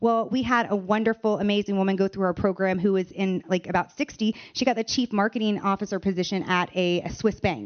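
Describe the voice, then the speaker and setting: An unremarkable speaking voice from a woman with an American accent, medium-pitched, fairly quick and fairly even in intonation, with hardly any pauses. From United States. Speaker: AI education founder. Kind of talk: panel discussion.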